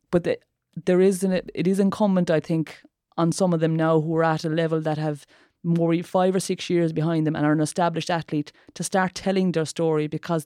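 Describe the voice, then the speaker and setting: A woman with an Irish accent talks at a fairly quick pace and fairly low pitch, in a dark, mellow tone with monotone, flat intonation. Her loudness stays very even, and the sound is dry and close with no echo. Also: very clean recording, silent background. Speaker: former athlete and sports campaigner. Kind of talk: podcast interview.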